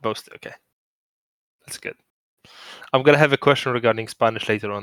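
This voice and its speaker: A man with a Polish accent talks at a very fast pace, his intonation fairly even but his loudness swinging widely. The recording is very clean with a silent background, dry and close with no echo. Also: medium pitch for a man. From Poland. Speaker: podcast host. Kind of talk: casual chat.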